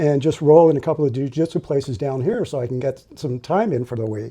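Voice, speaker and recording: Over a quiet background, a man with a dark, mellow tone speaks at a fairly quick pace with ordinary pitch variation. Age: 60s. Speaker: construction worker, pool builder. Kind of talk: interview answer.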